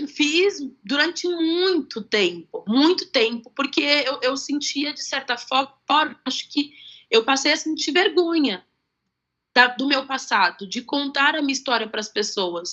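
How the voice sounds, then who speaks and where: Her voice sits at a high pitch with very wide pitch swings. The woman talks at a fairly slow pace. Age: 20s. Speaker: adoptee sharing her story. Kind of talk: interview on live stream. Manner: halting.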